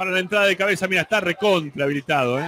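A man speaks in a high-pitched, raised, projected voice with an animated, excited tone. Noticeable background noise sits behind him. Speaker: football commentator. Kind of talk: live football commentary. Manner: animated, fast, excited play-by-play, rising on goals.

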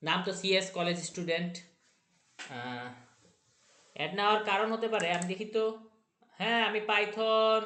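In a room with audible echo, a man projects a raised voice that is high-pitched and bright, sharp in tone, with ordinary pitch variation. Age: 30s. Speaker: programming tutorial youtuber. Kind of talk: tutorial. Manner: halting.

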